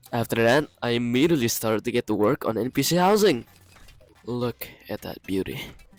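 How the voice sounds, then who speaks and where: Lively intonation from a man at medium pitch, dry and close with no echo, with music in the background. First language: not English. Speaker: gaming YouTuber. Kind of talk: gameplay voiceover narration. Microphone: poor audio quality at times, first voiceover.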